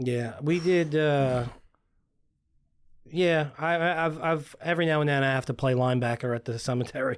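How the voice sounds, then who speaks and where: Long, frequent pauses break up a man's speech, given with an American accent, fairly high pitch, ordinary pitch variation and very even loudness. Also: moderate pace, very clean recording, silent background. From Long Island, New York. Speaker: funeral director. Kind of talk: casual chat.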